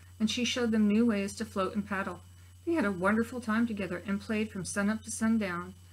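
This is plain reading aloud with fairly even intonation.

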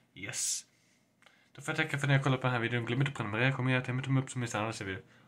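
A man with a medium-pitched voice talks in an animated way at a very fast pace, leaving long, frequent pauses. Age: 20s. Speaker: gaming YouTuber; vlogger. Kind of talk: casual vlog to camera. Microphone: webcam.

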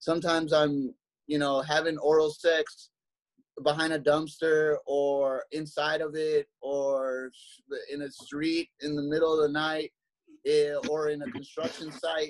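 A man speaks fairly slowly at a fairly high pitch. His voice has little pitch movement.

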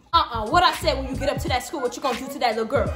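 Clear music plays in the background as a woman speaks at a very fast pace. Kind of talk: comedic skit scolding. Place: home room. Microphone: phone near.

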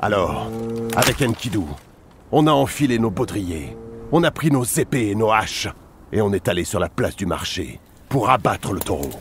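Music plays in the background as a man speaks in a solemn, dramatic tone at a fairly low pitch and moderate pace. His pitch swings very widely, broken by long, frequent pauses. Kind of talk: epic mythic narration, dramatized reading in character. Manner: solemn, measured, dramatic storytelling tone.

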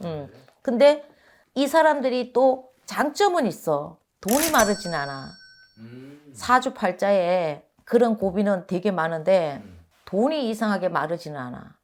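Very wide pitch swings and big swings in loudness mark this woman's medium-pitched voice, which moves at a very slow pace. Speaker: fortune teller / shaman. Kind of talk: fortune-telling talk. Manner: hesitant, many fillers.

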